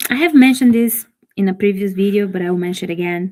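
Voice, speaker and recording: A woman with a Brazilian accent. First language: Portuguese. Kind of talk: reading aloud with commentary.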